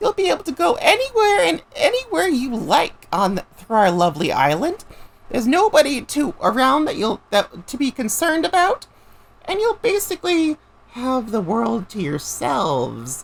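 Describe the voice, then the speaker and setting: At a moderate pace, a female-sounding, put-on character voice speaks with a high pitch. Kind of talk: villain host, theatrical. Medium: machinima. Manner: chirpy, sing-song politeness masking menace.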